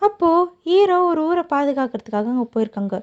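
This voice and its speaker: A dark, mellow tone moves through very wide pitch swings in a dry, close sound with no echo. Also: woman. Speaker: voice-over creator summarizing dramas. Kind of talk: casual drama recap narration to camera.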